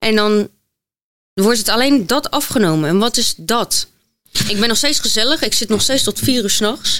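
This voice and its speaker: A woman's unremarkable speaking voice, fairly high in pitch, at a moderate pace with ordinary pitch variation, very even loudness, and a dry, close sound with no echo. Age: 20s. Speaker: model and influencer. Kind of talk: interview testimony.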